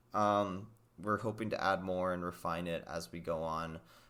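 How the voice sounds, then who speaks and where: A man's very deep, low voice carries vocal fry. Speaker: podcast co-host. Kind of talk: casual chat.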